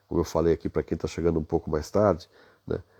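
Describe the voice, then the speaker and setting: Over a quiet background, a man speaks in a very deep, low voice with a dark, mellow tone and monotone, flat intonation, the sound dry and close with no echo. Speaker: business leadership coach. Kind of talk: live stream talk. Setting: hotel room at night. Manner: soft-spoken.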